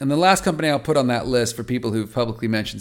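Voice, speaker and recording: The recording is very clean with a silent background. A man speaks at a medium pitch with lively intonation and an animated tone. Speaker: podcast host and patient advocacy leader. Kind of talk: weekly news briefing monologue. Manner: fast.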